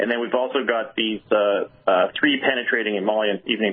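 A man speaks at a moderate pace with a medium pitch and ordinary pitch variation. It is an ordinary speaking voice. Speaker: product spokesperson. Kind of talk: product explanation.

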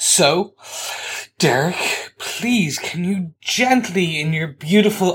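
A man talks with lively intonation against a silent background in a very clean recording. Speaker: podcast co-host. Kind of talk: casual chat. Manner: animated.

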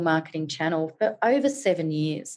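Speaking at a moderate pace with an Australian accent, a woman uses lively intonation. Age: 40s. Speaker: digital marketing educator. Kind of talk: interview.

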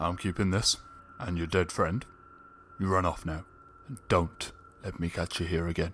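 A man uses a put-on character voice with very deep, low pitch. He talks at a moderate pace with long, frequent pauses. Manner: amused, menacing.

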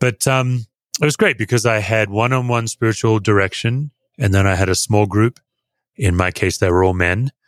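With an Australian accent, a man speaks at a moderate pace and fairly low pitch, his loudness very even and his pitch varying in an ordinary way, in a dry, close sound with no echo. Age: 50s. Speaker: pastor. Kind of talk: interview conversation.

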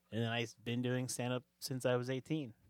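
A man with an American accent speaks in a normal speaking voice at medium pitch and a fairly quick pace. The recording is very clean with a silent background and a dry, close sound with no echo. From US West Coast, suburbs of Sacramento, California. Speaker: comedian. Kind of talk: casual chat.

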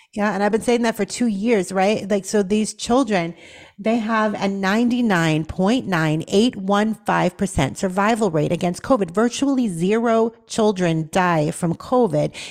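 At a medium pitch, a woman speaks in a plain, everyday voice at a fairly slow pace, with hardly any pauses, ordinary pitch variation and very even loudness. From Boston, Massachusetts. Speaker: nurse and talk radio host. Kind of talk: talk radio interview.

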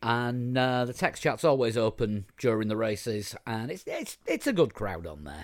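A man with a Yorkshire accent speaks at medium pitch and a moderate pace, with hardly any pauses and lively intonation. His loudness swings widely on a very clean recording with a silent background. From Yorkshire, northern England. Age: 50s. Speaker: podcast host. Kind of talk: casual chat.

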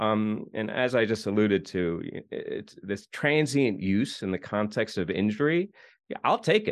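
A man with a normal speaking voice, a fairly low pitch, lively intonation and a moderate pace, over a quiet background. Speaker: podcast host. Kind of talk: casual interview and news roundup.

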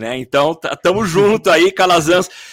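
Noticeable background noise sits behind a man's lively intonation. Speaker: podcast host. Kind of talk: casual chat. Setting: home studio, live stream.

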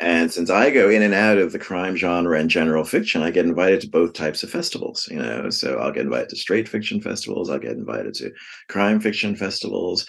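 A man with an American accent talks at a very fast pace with hardly any pauses, his very deep, low voice carrying vocal fry and lively intonation. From New York City (the Bronx). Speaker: novelist. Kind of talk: interview.

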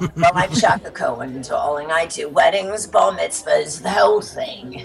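Using a put-on character voice, a man talks at a moderate pace in a raspy, high-pitched tone over clear background noise. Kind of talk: addresses listener as darling. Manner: flamboyant, brassy.

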